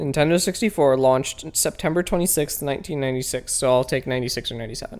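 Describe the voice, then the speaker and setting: In a Midwestern American accent, the speaker rushes along at a very fast pace with hardly any pauses. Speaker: podcast co-host. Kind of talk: casual comedic chat reviewing a video. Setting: studio.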